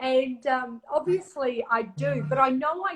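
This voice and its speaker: Here is a woman with an Australian accent and a high pitch. Her intonation is lively. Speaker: live stream host. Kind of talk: casual chat.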